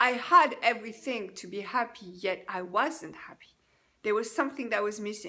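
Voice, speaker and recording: A woman with a French accent speaks at a fairly slow pace. Her voice is fairly high, with a bright, sharp tone. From France. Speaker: life coach. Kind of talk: personal testimony. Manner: halting.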